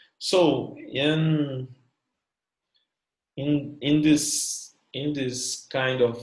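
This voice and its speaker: A somewhat breathy man's voice, fairly high in pitch, with a Brazilian Portuguese accent. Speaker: academic researcher. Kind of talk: academic presentation. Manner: halting, many fillers.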